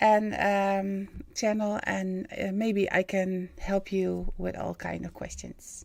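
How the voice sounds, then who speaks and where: On a very clean recording with a silent background, a woman with medium pitch speaks very slowly with a Dutch accent. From Netherlands. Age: 50s. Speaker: spiritual medium and live-stream host. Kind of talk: live stream monologue. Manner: halting, many fillers.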